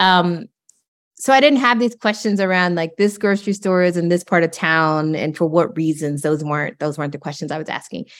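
In a normal speaking voice, a woman with an American accent and fairly low pitch talks at a fairly quick pace with lively intonation on a very clean recording with a silent background. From rural East Texas. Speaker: professor. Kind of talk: interview.

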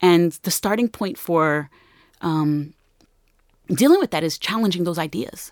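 A woman with an American accent, fairly low-pitched, at a fairly slow pace with long, frequent pauses and ordinary pitch variation, in a dry, close recording with no echo, very clean against a silent background. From New Jersey, Newark. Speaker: sociology professor. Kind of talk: interview.

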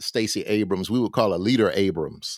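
A man with a Southern US accent speaks at a fairly low pitch. The recording is very clean, with a silent background. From US South, Alabama. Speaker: historian and professor. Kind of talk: interview.

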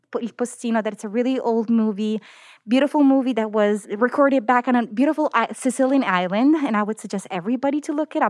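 A woman with an Italian accent talks at a very fast pace, with a fairly high pitch and ordinary pitch variation. The recording is very clean and silent in the background, with a dry, close sound and no echo. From southern Italy, Naples. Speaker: medical oncologist and cancer researcher. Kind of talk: interview.

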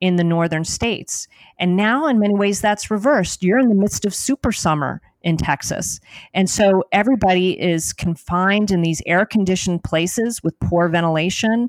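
A woman in an unremarkable speaking voice with an American accent, medium in pitch with ordinary pitch variation, at a moderate pace and very even loudness, in a dry, close sound with no echo and a very clean recording with a silent background. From New Jersey. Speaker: history professor. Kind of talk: interview.

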